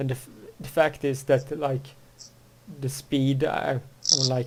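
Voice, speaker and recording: At a fairly slow pace, a man with a medium pitch speaks somewhat breathily in a monotone, flat intonation. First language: Swedish. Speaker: podcast host. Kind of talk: casual chat. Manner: halting, many false starts.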